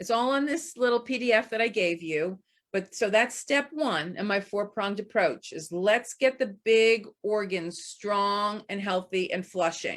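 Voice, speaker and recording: In a very clean recording with a silent background, a woman speaks at a fairly slow pace with medium pitch, ordinary pitch variation, and an unremarkable speaking voice. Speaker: homeopath and healer. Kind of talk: presentation.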